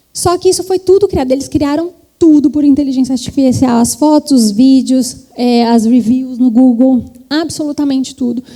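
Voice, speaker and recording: High female voice at a moderate pace, with ordinary pitch variation and noticeable background noise. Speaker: trend forecasting executive, keynote speaker. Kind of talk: conference talk.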